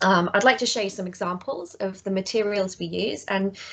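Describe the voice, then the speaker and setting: Speaking with a British accent, a woman holds a medium pitch and fairly even intonation. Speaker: education practitioner presenting her organisation. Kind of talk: online presentation. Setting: online session. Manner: fast.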